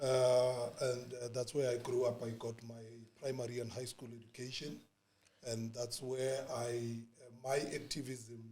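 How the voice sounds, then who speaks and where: A man at medium pitch speaks fairly slowly in a somewhat breathy, dark, mellow tone, monotone and flat, with audible room echo. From South Africa, township in Springs, Gauteng. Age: 40s. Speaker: former youth political activist. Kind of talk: podcast interview. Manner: hesitant, many fillers and repetitions.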